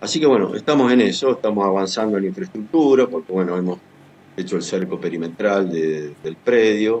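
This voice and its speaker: In a Rioplatense accent, a man with a fairly low voice speaks at a fairly quick pace with lively intonation. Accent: Argentine Spanish (rioplatense). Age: 60s. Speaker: writer and journalist. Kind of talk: interview. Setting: video call.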